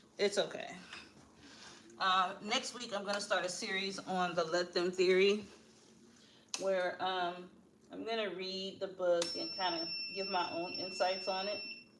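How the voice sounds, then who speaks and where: A woman speaks with long, frequent pauses. Her voice carries audible room echo. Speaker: livestream host, motivational speaker. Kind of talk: casual live chat. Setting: livestream at home, at a treadmill. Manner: chatty, addresses viewers.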